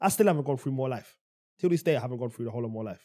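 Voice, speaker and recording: With a London accent and a dark, mellow tone, a man speaks with very wide pitch swings. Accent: London Multicultural English. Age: 20s. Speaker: podcast co-host. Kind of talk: casual chat. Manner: animated.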